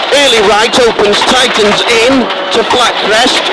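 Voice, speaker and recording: Loud background noise sits behind a man whose voice has a dry sound with no echo. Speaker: rally co-driver. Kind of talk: rally pace notes read aloud. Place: car. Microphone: helmet.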